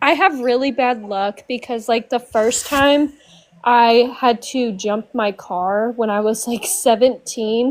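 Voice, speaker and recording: A woman with an American accent speaks very slowly in a high voice with ordinary pitch variation. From US Midwest, St. Louis area. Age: 20s. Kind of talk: casual chat.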